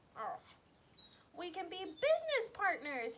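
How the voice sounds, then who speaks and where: In a put-on character voice, a woman squeaks at an extremely high pitch, her pitch swinging very widely as she speaks fairly slowly. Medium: read story. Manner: persuasive.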